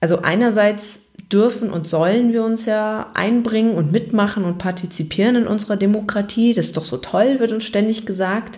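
A woman speaks at a moderate pace in a fairly high, somewhat breathy voice, with ordinary pitch variation. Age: 20s. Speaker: podcast host. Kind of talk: solo podcast monologue.

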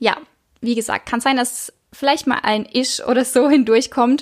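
A woman's high-pitched voice with a slight Baden accent, on a very clean recording with a silent background. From Baden, southwest Germany. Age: 20s. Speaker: podcast host, spiritual life coach. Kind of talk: casual monologue. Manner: halting, many fillers.

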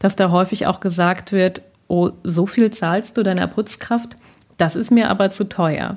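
Speaking at a fairly slow pace, a woman uses monotone, flat intonation. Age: 30s. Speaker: author and columnist. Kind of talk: interview. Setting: improvised home studio, remote recording.

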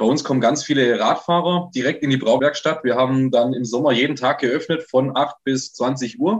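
Fairly high pitch marks this man. He has an ordinary speaking voice. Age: 20s. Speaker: brewer. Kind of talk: podcast interview.

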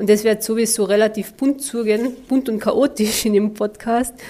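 Over noticeable background noise, a woman with a Carinthian accent and a fairly high pitch talks fairly slowly with fairly even intonation. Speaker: podcast host, mental trainer. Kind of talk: podcast monologue.

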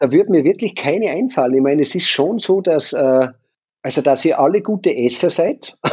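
Speaking at a moderate pace with hardly any pauses, a man uses a high pitch and lively intonation at a very even loudness. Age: 50s. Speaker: hotelier and triathlon team manager. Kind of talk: casual interview.

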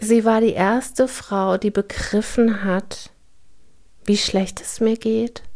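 Very slowly, a woman speaks in a fairly high pitch. Her intonation is monotone and flat. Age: 40s. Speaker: podcast host sharing her trauma experience. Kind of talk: personal monologue. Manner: hesitant, many filler sounds.

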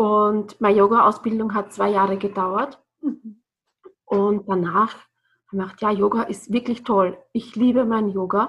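A woman talks at a fairly slow pace with fairly even intonation. She leaves long, frequent pauses. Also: medium pitch for a woman. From Austria, Burgenland (Bad Sauerbrunn). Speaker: yoga and breathing trainer. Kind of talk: podcast interview.

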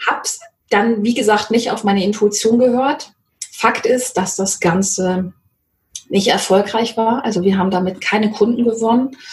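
A woman with a fairly high pitch speaks in an unremarkable speaking voice, at a moderate pace and with fairly even intonation. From Mecklenburg-Vorpommern, rural. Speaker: sales coach. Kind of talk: interview.

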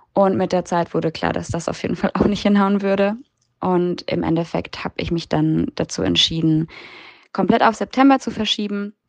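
A moderate pace in a dry, close recording with no echo. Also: woman. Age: 20s. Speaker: exchange student. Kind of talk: interview.

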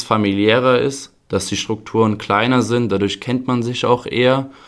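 A man's normal speaking voice at a moderate pace. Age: 20s. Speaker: youth football coach. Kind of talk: podcast interview.

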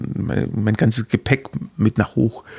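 A man speaks at a fairly slow pace in a dry, close recording with no echo. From Heidenheim district, Swabia (Baden-Württemberg). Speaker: physiotherapist for athletes. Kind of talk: interview. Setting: studio. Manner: halting, many fillers.

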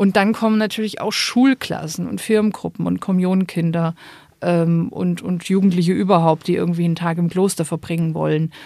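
Fairly quick speech from a woman, fairly low in pitch and dark, mellow in tone, with ordinary pitch variation on a very clean recording with a silent background. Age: 30s. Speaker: Benedictine nun. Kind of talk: interview.

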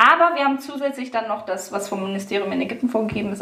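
A woman talking at a very fast pace, with audible room echo and noticeable background noise. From Hanover, northern Germany. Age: 30s. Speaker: kindergarten founder and triathlete mother. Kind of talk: interview.

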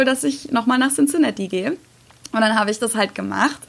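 A woman speaks at a very fast pace. Her voice sits fairly high in pitch. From Germany. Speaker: YouTuber. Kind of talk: casual interview.

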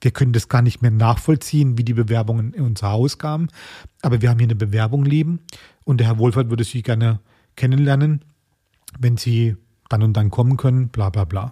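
At a fairly quick pace broken by long, frequent pauses, a man speaks in a dark, mellow, somewhat breathy, medium-pitched voice with ordinary pitch variation, the sound dry and close with no echo. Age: 40s. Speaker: chef. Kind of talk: interview.

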